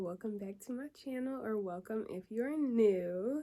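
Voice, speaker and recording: A soft-spoken woman talks at a fairly slow pace and fairly high pitch, with a dark, mellow tone and lively intonation. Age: 20s. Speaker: beauty vlogger. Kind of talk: casual vlog.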